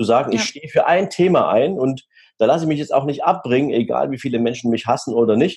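Lively intonation from a man, somewhat breathy and dark, mellow in tone. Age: 40s. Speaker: wealth manager and keynote speaker. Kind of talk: podcast interview.

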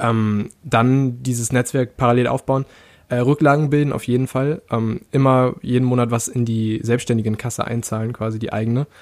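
In a very clean recording with a silent background, a man of medium pitch speaks at a moderate pace in a monotone, flat intonation. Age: 20s. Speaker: freelance web developer, podcaster. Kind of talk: casual interview chat.

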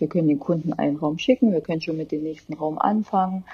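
Pitch varies in an ordinary way. There is a somewhat breathy quality. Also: woman. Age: 30s. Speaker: interior designer. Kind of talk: interview.

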